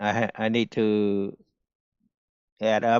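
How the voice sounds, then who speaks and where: A man's medium-pitched voice, monotone and flat, with a strong non-native accent. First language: not English. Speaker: day trader streamer. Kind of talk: live stream commentary.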